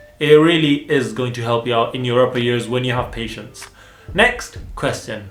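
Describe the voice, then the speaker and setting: A man's animated voice at a fairly quick pace, with audible room echo and noticeable background noise. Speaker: dental student and vlogger. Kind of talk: casual Q&A vlog.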